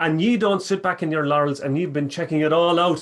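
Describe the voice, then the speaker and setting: A man talks with a strong Irish accent. His pitch sits high for a man. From Ireland, County Cork. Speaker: storyteller and musician. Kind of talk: storytelling.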